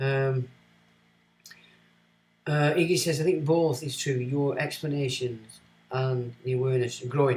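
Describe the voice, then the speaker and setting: A somewhat breathy man with a Lancashire accent. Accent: northern English, Lancashire. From Lancashire, northern England. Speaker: streamer reading viewer comments. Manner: casual, rambling.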